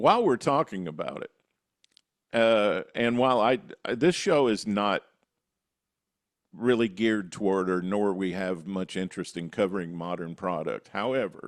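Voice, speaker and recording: A man talks at a moderate pace with ordinary pitch variation, leaving long, frequent pauses. The background is quiet. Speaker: podcast host. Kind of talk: podcast discussion.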